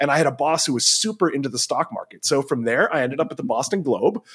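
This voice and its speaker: With a normal speaking voice, a man talks at a fairly quick pace and a fairly high pitch. His intonation is lively, and the sound is dry and close with no echo. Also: very clean recording, silent background. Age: 40s. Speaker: investing journalist and analyst. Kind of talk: interview.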